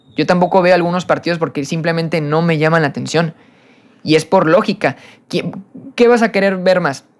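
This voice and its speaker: The speech runs at a fairly quick pace, broken by long, frequent pauses. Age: 20s. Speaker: podcast host. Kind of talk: casual solo podcast monologue. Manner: halting, frequent repetitions and fillers; animated, passionate.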